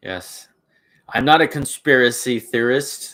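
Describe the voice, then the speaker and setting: A man speaks at a very slow pace in a bright, sharp tone. His pitch is medium, with ordinary variation. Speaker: YouTuber, blacksmith and homesteader. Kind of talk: live stream chat with viewers. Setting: blacksmith shop. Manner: halting, many fillers and restarts.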